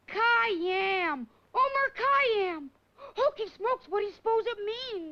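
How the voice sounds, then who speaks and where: In a cartoonish character voice pitched extremely high, the speaker goes at a fairly slow pace with long, frequent pauses. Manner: eager, bright.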